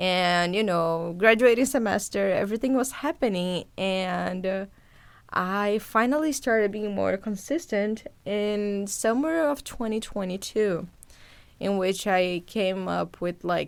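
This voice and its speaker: A woman talks at a fairly slow pace with a Portuguese accent and medium pitch. Pitch variation is ordinary, and the recording is very clean with a silent background. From Brazil, Sao Paulo. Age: 20s. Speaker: podcast host, journalist. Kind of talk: casual monologue to listeners.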